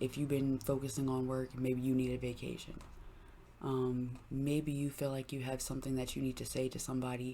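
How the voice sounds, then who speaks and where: The voice has a dark, mellow tone. It moves at a fairly quick pace in a monotone, flat intonation. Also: woman, very deep, low pitch for a woman. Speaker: tarot reader. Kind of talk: tarot reading monologue.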